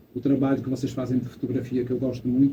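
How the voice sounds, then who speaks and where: Speaking with a European Portuguese accent, a man uses a medium pitch and a monotone, flat intonation at a very fast pace. Audible room echo surrounds his voice. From Portugal. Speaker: photographer, photo club member. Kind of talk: audience remarks at photo club event. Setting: event hall with audience.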